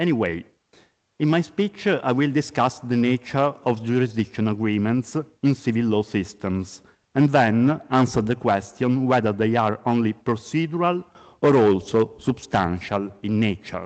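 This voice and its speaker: A man speaks at a medium pitch with an Italian accent, his pitch varying in an ordinary way. His loudness stays very even at a moderate pace over a quiet background. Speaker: law professor. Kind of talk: conference lecture. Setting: conference. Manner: formal.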